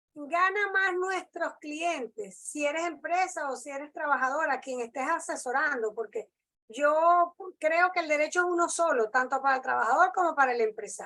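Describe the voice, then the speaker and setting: A woman's raised, projected voice, high in pitch and bright, sharp in tone, with lively intonation. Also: moderate pace. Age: 60s. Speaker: labor lawyer. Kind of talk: lecture; Q&A discussion. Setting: video call.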